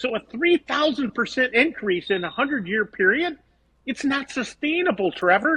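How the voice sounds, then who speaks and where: A man's extremely high, bright, sharp voice, raised and projected, animated in tone with lively intonation at a moderate pace. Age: 60s. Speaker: vegetable farmer. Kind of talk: podcast interview. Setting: podcast.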